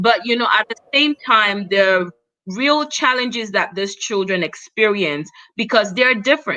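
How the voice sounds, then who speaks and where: A woman with a bright, sharp tone, fairly high pitch, lively intonation and a moderate pace. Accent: non-native. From Cameroon. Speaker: talk show host. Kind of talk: live panel interview. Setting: livestream.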